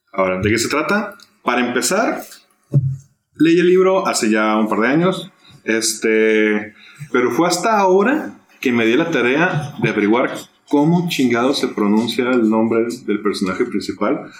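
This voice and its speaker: The pitch swings very widely at a fairly slow pace, while the loudness stays very even. Room echo is audible. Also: man, medium pitch for a man. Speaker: podcast host. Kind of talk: casual chat.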